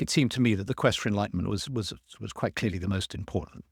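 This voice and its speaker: On a very clean recording with a silent background, a man in a London accent speaks with ordinary pitch variation and a dry, close sound with no echo. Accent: southern English (London). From London, England. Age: 70s. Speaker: author and druid teacher. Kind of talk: interview conversation. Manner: halting, many fillers and repetitions.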